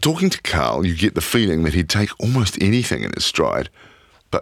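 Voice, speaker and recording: A man with a New Zealand accent and vocal fry speaks at a moderate pace in a dry, close sound with no echo. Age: 40s. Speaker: podcast host. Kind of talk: documentary narration.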